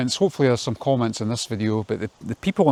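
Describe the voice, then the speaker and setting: This is a man speaking with a Scottish accent. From Scotland. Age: 50s. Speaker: vlogger. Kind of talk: casual monologue. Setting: outdoors in garden, walking. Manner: repetitive, halting.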